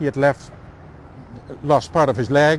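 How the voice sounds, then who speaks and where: Speaking at a moderate pace, a man with a Dutch accent has a fairly high pitch. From eastern Netherlands. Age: 60s. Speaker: tour guide. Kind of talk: guided walking tour. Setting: outdoors.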